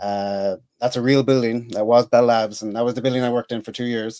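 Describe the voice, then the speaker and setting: Fairly quick speech from a man with an Irish accent, medium pitch, fairly even intonation and a dark, mellow tone, in a dry, close sound with no echo. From Ireland, Dublin and Cork. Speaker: engineer and comedian. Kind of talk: podcast interview. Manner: halting, many fillers.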